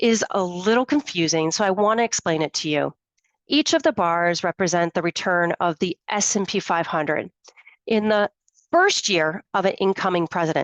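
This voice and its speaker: With a plain, everyday voice, a woman speaks at a moderate pace and very even loudness, in a dry, close sound with no echo against a quiet background. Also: medium pitch for a woman. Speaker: financial planner. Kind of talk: webinar presentation. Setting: live webinar.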